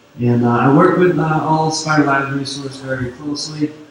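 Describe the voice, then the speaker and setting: A man speaks at a moderate pace with fairly even intonation, over noticeable background noise and audible room echo. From Quebec, Canada (Sherbrooke). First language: French. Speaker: security consultant. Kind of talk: conference talk. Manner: hesitant, many fillers.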